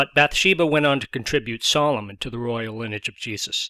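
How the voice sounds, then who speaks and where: Medium-pitched and with ordinary pitch variation, a man speaks at a fairly quick pace. The sound is dry and close, with no echo. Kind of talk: comedic Bible summary narration.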